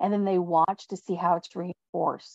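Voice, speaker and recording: This woman has an American accent and a medium-pitched voice with a dark, mellow tone. The sound is dry and close, with no echo. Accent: slight Texan twang, stronger when excited. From Texas. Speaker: leadership speaker. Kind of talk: webinar presentation.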